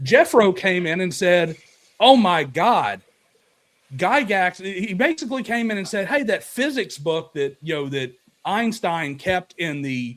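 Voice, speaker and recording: Animated in tone, a man with a Southern US accent talks at a fairly slow pace, his high pitch moving through very wide pitch swings. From US South. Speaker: tabletop RPG video creator. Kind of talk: casual chat.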